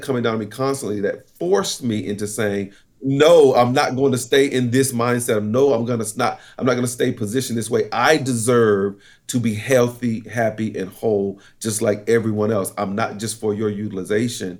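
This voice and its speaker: With an American accent, a man speaks at a moderate pace in a medium pitch, in a plain, everyday voice. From eastern North Carolina, US South. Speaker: corporate trainer and military veteran. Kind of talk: interview.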